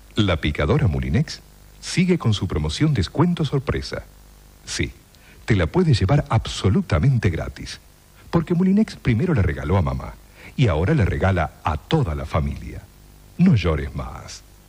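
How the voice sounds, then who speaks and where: A man with a very deep, low pitch and very wide pitch swings speaks at a moderate pace with long, frequent pauses. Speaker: announcer. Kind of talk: TV commercial read.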